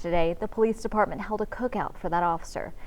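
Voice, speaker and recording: Fairly quick in pace, a woman speaks at a medium pitch in an ordinary speaking voice. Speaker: TV news anchor and reporter. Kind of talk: TV news anchor delivery.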